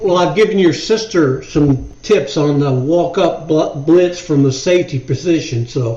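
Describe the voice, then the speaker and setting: With an American accent, a man with a fairly high voice talks at a fairly slow pace with hardly any pauses over noticeable background noise. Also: ordinary pitch variation. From Ohio. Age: 60s. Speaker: football fan, host's father. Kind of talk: casual chat. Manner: halting.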